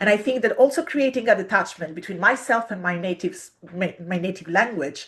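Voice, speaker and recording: A woman with an Italian accent at a fairly quick pace, with ordinary pitch variation. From Italy. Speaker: literature researcher and poet. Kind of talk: interview talk. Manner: hesitant, many fillers.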